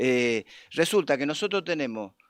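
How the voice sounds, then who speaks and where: The recording is dry and close, with no echo and a quiet background. A man speaks at a fairly high pitch and a fairly slow pace. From Argentina, Mendoza province. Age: 60s. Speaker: union leader. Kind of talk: political talk on a live stream. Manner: halting, many repetitions and fillers.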